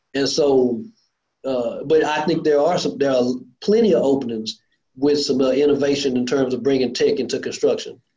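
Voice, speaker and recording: Audible room echo surrounds a man's dark, mellow, fairly high voice, which moves at a moderate pace with ordinary pitch variation. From Lancaster, Texas, south of Dallas. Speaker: construction contractor, industry association board chair. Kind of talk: casual interview. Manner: animated.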